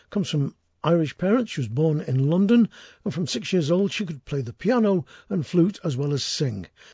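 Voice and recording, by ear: At a moderate pace with few pauses, a man speaks with a fairly high pitch and big pitch swings, his slightly mellow tone carrying a slightly husky edge and vocal fry.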